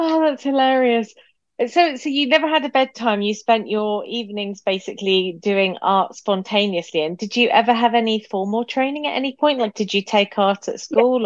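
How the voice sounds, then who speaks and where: A woman with a normal speaking voice talks at a moderate pace and fairly high pitch, with lively intonation and hardly any pauses. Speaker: podcast host. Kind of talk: interview. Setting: video call.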